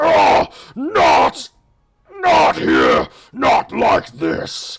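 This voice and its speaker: Growling, a man performs a put-on character voice. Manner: booming, grand.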